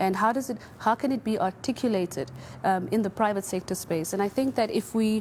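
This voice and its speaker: A woman with a fairly high pitch speaks at a fairly quick pace and a very even loudness. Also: ordinary pitch variation. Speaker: panelist. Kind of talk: panel discussion. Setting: studio with audience. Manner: soft-spoken.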